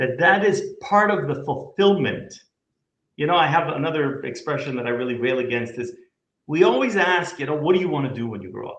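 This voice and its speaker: In an audible room echo, a man with a Canadian accent and a fairly high pitch talks in an animated tone with lively intonation at a fairly quick pace, his loudness swinging widely. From Canada. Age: 50s. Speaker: company CEO. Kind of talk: business interview conversation.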